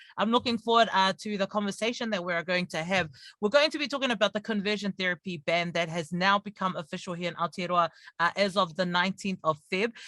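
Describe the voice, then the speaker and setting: A man speaks very fast in a raised, projected voice, high-pitched with ordinary pitch variation and a bright, sharp tone. The sound is dry and close with no echo, on a very clean recording with a silent background. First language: not English. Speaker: radio host. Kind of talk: radio interview.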